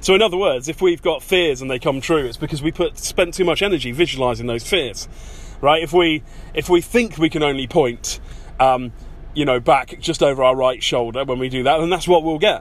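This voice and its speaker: At a fairly quick pace, a man with an English accent speaks in a fairly high pitch with ordinary pitch variation. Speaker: podcast host, self-improvement coach. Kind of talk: casual monologue. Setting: in a car. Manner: chatty with many ums and uhs.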